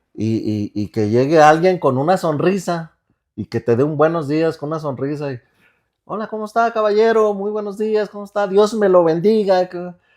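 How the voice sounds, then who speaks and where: With a quiet background, a man speaks at a moderate pace in a high voice, with very wide pitch swings and big swings in loudness. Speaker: podcast co-host. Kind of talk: casual chat. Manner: sounds angry when he isn't.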